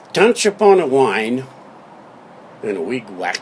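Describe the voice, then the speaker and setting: A man speaks in a playful tone at a medium pitch and a very slow pace, his pitch swinging very widely, with noticeable background noise. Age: 80s+. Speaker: father telling a family story. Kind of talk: spoken-word comic storytelling from memory. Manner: playful, spoonerized wordplay.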